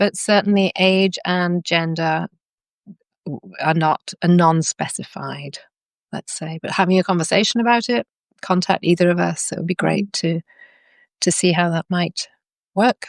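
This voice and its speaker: A woman with a British accent and a fairly low voice speaks with long, frequent pauses in a dry, close recording with no echo and a quiet background. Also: ordinary pitch variation, moderate pace. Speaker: workshop facilitator. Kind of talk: casual chat.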